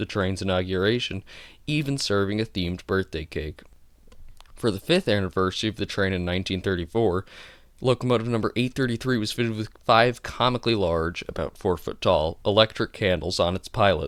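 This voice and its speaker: A man's fairly quick speech with an American accent, in a normal speaking voice at a fairly low pitch with ordinary pitch variation, on a very clean recording with a silent background. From New Jersey. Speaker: amateur railroad history narrator. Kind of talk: history narration voiceover. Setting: low-quality home microphone.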